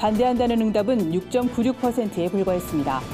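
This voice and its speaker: Lively in intonation, a woman with a fairly high voice speaks at a fairly quick pace over music in the background. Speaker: news reporter. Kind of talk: news briefing read.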